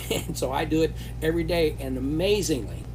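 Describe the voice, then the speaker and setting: A man at a moderate pace, monotone and flat, with noticeable background noise and audible room echo. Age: 70s. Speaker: company founder hosting live Q&A. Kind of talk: live stream Q&A. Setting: live stream while traveling. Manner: hesitant, many fillers.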